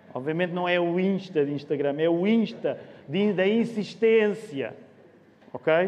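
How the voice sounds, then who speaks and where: The intonation is lively. Audible room echo surrounds the voice. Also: man. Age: 40s. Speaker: pastor. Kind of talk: sermon.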